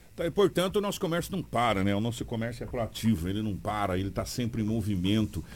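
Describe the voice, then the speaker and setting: With hardly any pauses, a man of fairly low pitch speaks at a very fast pace with lively intonation. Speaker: radio news host. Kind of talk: morning radio news show and interview. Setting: radio studio.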